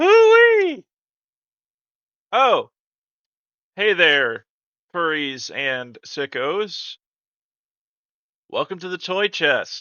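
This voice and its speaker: Speaking very slowly with an American accent, a man leaves long, frequent pauses. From Minnesota. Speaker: tech YouTuber. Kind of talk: casual tech explainer monologue. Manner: animated.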